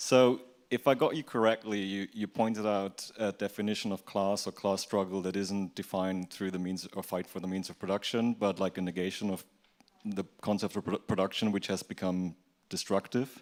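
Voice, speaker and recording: A man with an unremarkable speaking voice talks at a fairly quick pace, his fairly low pitch held in fairly even intonation. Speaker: audience member. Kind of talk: audience question.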